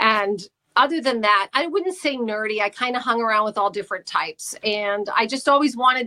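The tone is bright and sharp. The sound is dry and close, with no echo. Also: woman. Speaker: radio host. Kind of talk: casual chat.

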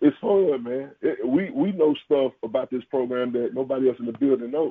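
Ordinary pitch variation marks speech delivered at a moderate speed. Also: man, fairly high pitch for a man. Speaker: college football coach. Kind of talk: interview. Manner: animated.

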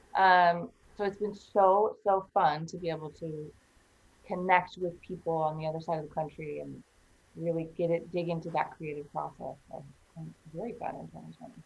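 A woman with an American accent speaks in a normal speaking voice at a fairly low pitch. Her pace is moderate, and her intonation is fairly even. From Iowa, US Midwest. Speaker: singer-songwriter. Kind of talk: casual interview. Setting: studio.

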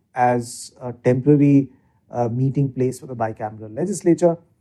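A man with an Indian accent speaks in a dark, mellow tone. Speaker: legislative research expert. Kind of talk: interview explanation. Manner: hesitant with filler words.

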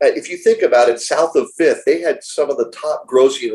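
A man with an American accent at a moderate pace. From Miami, Florida, US. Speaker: real estate executive. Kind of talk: interview.

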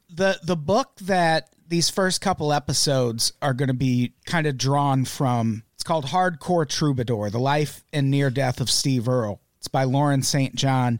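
In a very clean recording with a silent background and a dry, close sound with no echo, a man with a fairly high pitch and an unremarkable speaking voice talks at a fairly slow pace with hardly any pauses and ordinary pitch variation. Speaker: comedy music podcast host. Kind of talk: casual chat.

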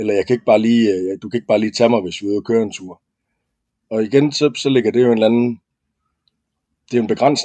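Speaking at a very fast pace with long, frequent pauses, a man uses a dark, mellow tone at medium pitch. The sound is dry and close with no echo, and his intonation is fairly even. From West Jutland, Denmark. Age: 30s. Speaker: former soldier. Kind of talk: casual chat. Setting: studio. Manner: halting, many fillers and repeats.

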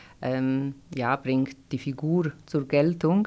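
A woman speaks with a Polish accent. The recording is very clean, with a silent background. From Poland, Gdańsk. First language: Polish (speaking German). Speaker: corset maker. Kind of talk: interview. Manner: halting, many fillers.

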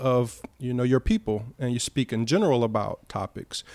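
Here a man talks with a Southern US accent at a medium pitch. The sound is dry and close, with no echo. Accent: Southern American English. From US, Cleveland, Ohio. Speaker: performance poet and hip hop artist. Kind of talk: casual chat. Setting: at the host's home overlooking the sea.

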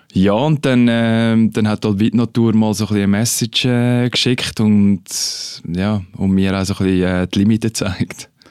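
This is an unremarkable speaking voice from a man, fairly low in pitch, at a moderate pace. His loudness stays very even and his intonation fairly even. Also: very clean recording, silent background. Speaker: retired ice hockey player. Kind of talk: casual interview. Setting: studio.

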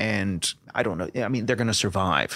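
Man with a normal speaking voice, a fairly quick pace and ordinary pitch variation. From Canada. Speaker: political scientist. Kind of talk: interview.

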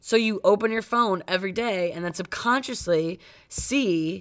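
Recorded very cleanly against a silent background, a woman with an American accent talks at a moderate pace, using an ordinary speaking voice at medium pitch. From Cleveland, US Midwest. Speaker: podcast co-host. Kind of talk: casual chat.

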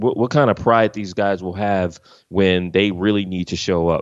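With an American accent, a man has a plain, everyday voice, pitched fairly low with ordinary pitch variation. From US East Coast, Philadelphia. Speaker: sports journalist. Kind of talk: casual podcast interview.

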